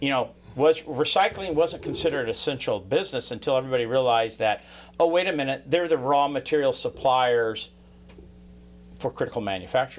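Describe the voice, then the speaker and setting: A speaker with an American accent talks at a fairly quick pace. It is an unremarkable speaking voice with ordinary pitch variation. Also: man, fairly high pitch for a man. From California. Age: 60s. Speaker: podcast host. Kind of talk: casual interview. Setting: on location at a recycling company.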